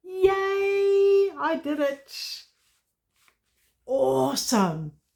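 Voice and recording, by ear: A woman's extremely high pitch with big pitch swings, vocal fry, a slightly mellow tone and a very slow pace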